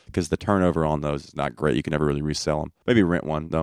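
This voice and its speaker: A man with a Southern US accent speaks at a very fast pace. The recording is very clean, with a silent background and a dry, close sound with no echo. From Alabama, US South. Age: 20s. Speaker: comedian. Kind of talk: casual chat.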